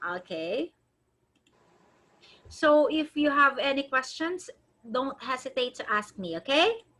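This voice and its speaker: Using a raised, projected voice, a woman with a high pitch and a bright, sharp tone speaks at a very slow pace with very wide pitch swings and long, frequent pauses. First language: not English. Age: 40s. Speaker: online English teacher. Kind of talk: online tutoring lesson.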